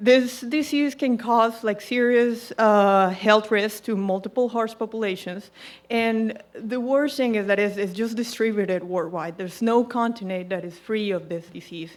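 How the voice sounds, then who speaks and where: Fairly high in pitch with ordinary pitch variation, a woman speaks in a Colombian accent. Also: moderate pace, hardly any pauses. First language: Spanish. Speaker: equine veterinarian. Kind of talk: presentation to audience. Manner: hesitant, with fillers.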